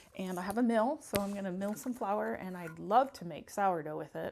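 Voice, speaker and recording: Lively intonation marks a normal speaking voice delivered at a fairly quick pace. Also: woman. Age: 50s. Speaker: lifestyle vlogger. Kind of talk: casual talk to camera.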